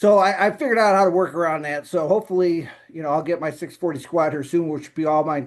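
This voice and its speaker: A fairly high-pitched man with fairly even intonation against a quiet background, an ordinary speaking voice. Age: 50s. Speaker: powerlifter and accountant vlogger. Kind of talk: casual video update. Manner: rambling conversational, many fillers.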